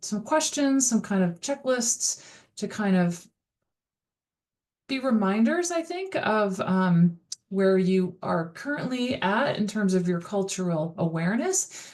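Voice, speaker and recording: Speaking fairly slowly, a woman uses lively intonation at a medium pitch. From US, Dutch immigrant family. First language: Dutch. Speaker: college instructor. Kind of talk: recorded course lecture. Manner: casual, many fillers.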